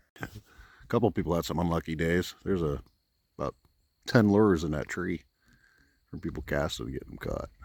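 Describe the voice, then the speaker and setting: A man's very deep, low voice with vocal fry, a fairly quick pace broken by long, frequent pauses, ordinary pitch variation and big swings in loudness, in a very clean recording with a silent background. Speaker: outdoor vlogger, RV camper. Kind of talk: casual vlog narration. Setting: outdoors.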